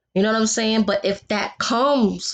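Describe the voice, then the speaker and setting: In a New York accent, a woman speaks with ordinary pitch variation over a quiet background. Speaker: vlogger. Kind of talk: casual vlog monologue. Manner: animated.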